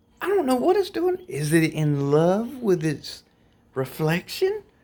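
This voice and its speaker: A man speaks quietly at a fairly slow pace, his pitch swinging very widely. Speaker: vlogger. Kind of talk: casual vlog.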